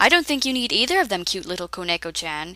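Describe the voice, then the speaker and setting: Speaking at a very fast pace, a woman puts on a character voice. Her pitch is medium. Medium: read story. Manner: smug, teasing, sinister.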